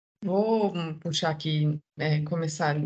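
A woman with a southern Brazilian accent speaks in a very deep, low pitch that is somewhat breathy. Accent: southern Brazilian Portuguese, noticeable. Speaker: diversity and inclusion manager. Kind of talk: podcast interview.

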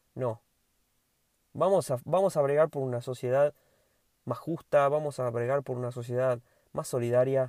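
In a very clean, dry recording with a close sound, no echo and a silent background, a man speaks at a moderate pace and medium pitch, his tone dark and mellow and his intonation fairly even. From Argentina, Tucumán province (Monteros). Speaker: lawyer and podcast host. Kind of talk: solo educational podcast monologue. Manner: informal, conversational.

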